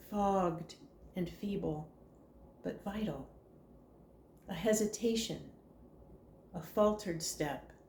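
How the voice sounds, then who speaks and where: Delivered at a very slow pace, the voice has a gentle tone and ordinary pitch variation. Noticeable background noise runs underneath. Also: woman, long, frequent pauses. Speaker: poetry reader. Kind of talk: prose poetry reading.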